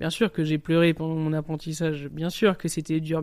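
Speaking at a moderate pace with monotone, flat intonation, a man with a fairly high pitch comes through on a very clean recording with a silent background. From southern France, Nice. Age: 30s. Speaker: chef. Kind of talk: interview testimony. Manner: casual, colloquial.

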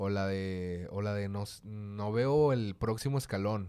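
Dark and mellow in tone, a man's fairly low voice shows ordinary pitch variation. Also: very clean recording, silent background. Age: 20s. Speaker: rapper. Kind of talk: casual chat.

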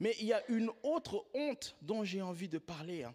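The man speaks at a high pitch. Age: 30s. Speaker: pastor. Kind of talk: sermon.

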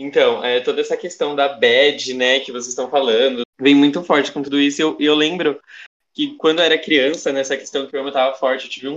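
A man's ordinary speaking voice, fairly high in pitch, at a moderate pace with fairly even intonation. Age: young. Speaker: student podcast co-host. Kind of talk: casual chat.

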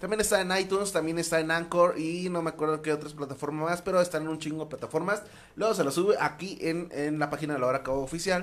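This man talks fairly quickly. His fairly high pitch shows ordinary variation. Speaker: podcast host. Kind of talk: casual chat. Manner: animated.

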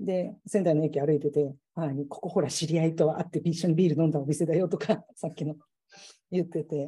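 Woman's somewhat breathy, dark, mellow tone at a fairly low pitch, moderate pace. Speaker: civil engineer. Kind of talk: casual chat. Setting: video call.

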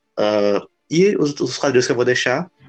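The speaker is a man. His pitch is medium. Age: 20s. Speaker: podcast host. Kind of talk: casual chat.

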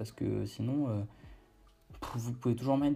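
A man's dark, mellow, medium-pitched voice at a moderate pace, with ordinary pitch variation. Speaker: podcast host on online brand building. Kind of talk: casual solo monologue. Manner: hesitant with fillers.

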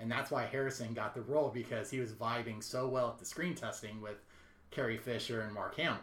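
Amid noticeable background noise and audible room echo, a man talks fairly quickly at a medium pitch with fairly even intonation. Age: 30s. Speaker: podcast co-host. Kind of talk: casual chat.

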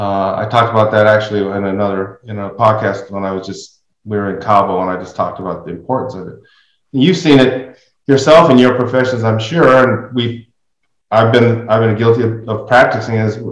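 A man speaks in a normal speaking voice at a fairly quick pace. His pitch varies an ordinary amount while his loudness swings widely. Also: medium pitch for a man. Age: 60s. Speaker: podcast host. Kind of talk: casual interview conversation.

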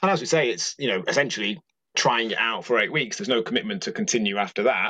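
The man talks at a very fast pace with lively intonation. His medium-pitched voice has a bright, sharp tone. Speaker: podcast host and coach. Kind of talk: casual interview chat.

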